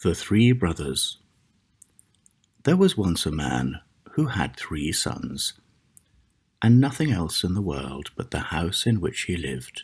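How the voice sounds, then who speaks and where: A man speaks very slowly in a very deep, low pitch with vocal fry and very wide pitch swings. He leaves long, frequent pauses. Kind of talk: ASMR fairy tale reading.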